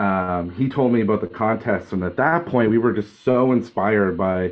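A man speaks at a moderate pace with fairly even intonation in a normal speaking voice. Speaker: interviewee. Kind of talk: interview answer. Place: home room. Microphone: video call.

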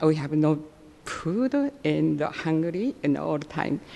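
Over noticeable background noise, a woman with a Japanese accent speaks very slowly at a fairly low pitch with ordinary pitch variation. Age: 80s+. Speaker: public commenter. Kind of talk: public comment at city council meeting. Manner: halting, broken English.

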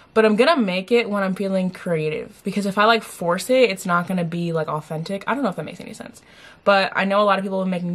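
A woman talks very fast, her voice somewhat breathy. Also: hardly any pauses. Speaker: vlogger. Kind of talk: casual vlog chat. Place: home room. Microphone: camera far.

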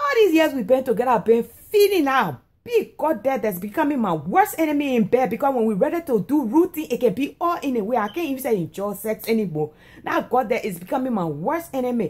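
Here a woman speaks in a high voice. Her pitch swings very widely. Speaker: comedic vlogger. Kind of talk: casual comedic monologue. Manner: drowsy, lazy complaining voice from bed. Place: home room. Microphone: phone near.

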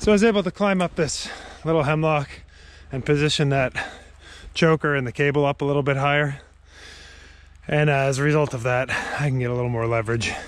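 Words come very fast from a man, his pitch varying in an ordinary way. The sound is dry and has no echo. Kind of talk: casual vlog chat. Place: forest. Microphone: phone near.

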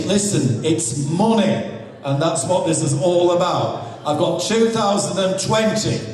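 Audible room echo and light background noise surround a man's voice. He speaks at a very slow pace with ordinary pitch variation. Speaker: charity auctioneer. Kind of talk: live auction, auctioneer patter. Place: hall.

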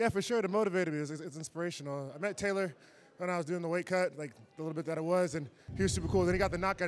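A man with a high-pitched voice speaks with ordinary pitch variation over light background noise. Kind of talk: post-fight interview answer. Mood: happy, grateful. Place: stadium. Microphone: handheld.

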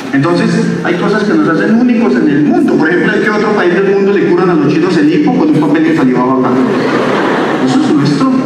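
A man speaks very fast at a high pitch, his pitch swinging very widely. Strong room echo and noticeable background noise fill the recording. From Bogotá, Colombia (south Bogotá). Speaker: stand-up comedian. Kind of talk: stand-up. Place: stage. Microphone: pa.

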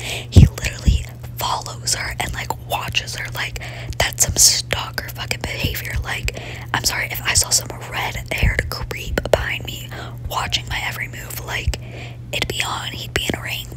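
Whispering at a moderate pace, the voice shows big swings in loudness. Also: woman. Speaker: ASMR content creator. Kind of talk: gaming ASMR ramble. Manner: whispered; casual, chatty.

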